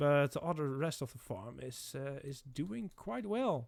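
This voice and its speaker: A man speaks fairly slowly, his pitch fairly high and his intonation lively. The recording is very clean, and the background is silent. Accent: non-native. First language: not English. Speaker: gaming content creator. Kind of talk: gameplay commentary. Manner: halting, many fillers and restarts.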